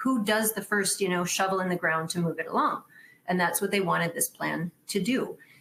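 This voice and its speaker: Fairly quick speech with a Wisconsin accent and ordinary pitch variation. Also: woman, medium pitch for a woman. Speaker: stormwater engineer. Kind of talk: conference presentation. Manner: casual, conversational with fillers.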